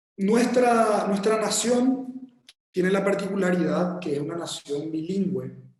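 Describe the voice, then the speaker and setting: Room echo is clearly audible around this man's voice, whose pitch varies in an ordinary way. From Paraguay. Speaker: architect. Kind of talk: lecture. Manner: halting, many repetitions and fillers; slow.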